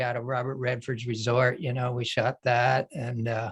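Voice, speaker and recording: A man with an American accent, a plain, everyday voice, medium pitch and a moderate pace. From Philadelphia area, US. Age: 60s. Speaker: artist and retired photographer. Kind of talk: panel discussion.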